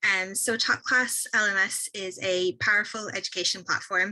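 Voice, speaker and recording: With noticeable background noise behind her, a woman speaks with an Irish accent. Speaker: software company representative. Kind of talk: product presentation on a webinar. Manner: fast.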